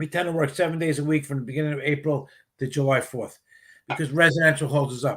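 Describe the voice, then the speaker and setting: In an American accent, a man with an unremarkable speaking voice talks at a fairly quick pace, his fairly high pitch kept to fairly even intonation. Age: 60s. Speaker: retired police officer and garage cleaning business owner. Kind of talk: casual chat. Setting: live stream show.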